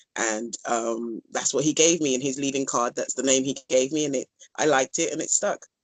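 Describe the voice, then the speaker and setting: A woman with a London accent has a very deep, low pitch. She talks at a fairly quick pace with ordinary pitch variation. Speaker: dance instructor. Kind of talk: casual interview. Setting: phone call.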